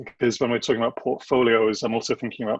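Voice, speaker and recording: A man with an English accent speaks at a medium pitch in monotone, flat intonation. The sound is dry and close, with no echo. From England. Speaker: government agency design director. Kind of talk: webinar presentation.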